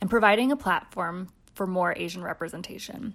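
A woman speaks in a plain, everyday voice at a fairly quick pace and medium pitch, with ordinary pitch variation. The recording is very clean, with a silent background. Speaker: podcast producer. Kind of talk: scripted intro.

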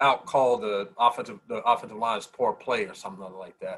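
A man of medium pitch speaks at a moderate pace with an American accent. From North Carolina. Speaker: former football player. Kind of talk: casual chat. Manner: animated.

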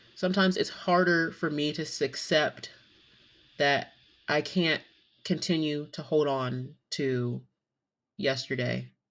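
In a Southern US accent, a woman with a very deep, low pitch speaks at a fairly slow pace with ordinary pitch variation and long, frequent pauses, on a very clean recording with a silent background. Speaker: podcast host and nursing assistant. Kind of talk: casual monologue. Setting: home recording. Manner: many filler ums.

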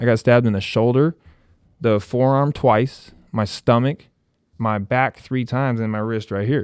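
A man with an American accent and an ordinary speaking voice talks at a moderate pace and a medium pitch with fairly even intonation, on a very clean recording with a silent background and a dry, close sound with no echo. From US West Coast, Santa Barbara area, California. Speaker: former college basketball player, coach. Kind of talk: casual interview, personal story. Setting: studio.

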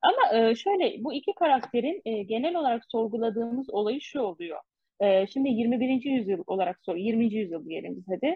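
The pitch swings very widely. There are hardly any pauses. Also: woman. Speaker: podcast co-host. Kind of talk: casual book discussion. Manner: fast.

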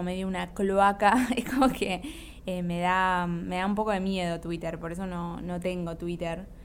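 A moderate pace and fairly even intonation amid audible room echo. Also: woman. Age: 20s. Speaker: podcast host and YouTuber. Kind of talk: casual monologue.

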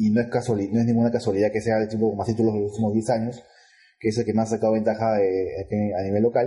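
A man speaks at a very fast pace with medium pitch and a dark, mellow tone that is somewhat breathy. His intonation is monotone and flat, and his loudness stays very even. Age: 30s. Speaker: football podcast co-host. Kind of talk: casual chat.

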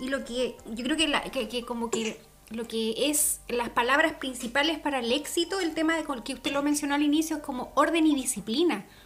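A woman's high voice shows ordinary pitch variation at a moderate pace. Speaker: podcast co-host. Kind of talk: casual chat.

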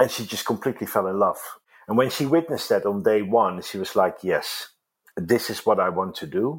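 A fairly quick voice with a Dutch accent. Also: man. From Netherlands. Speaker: organic salon co-founder. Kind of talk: interview. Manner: halting.

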